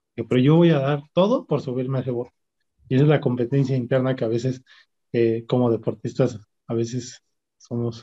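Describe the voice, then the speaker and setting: Fairly quick and somewhat breathy, a man's medium-pitched voice has a dark, mellow tone and fairly even intonation. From Mexico City (Xochimilco). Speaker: rower. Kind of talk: interview conversation.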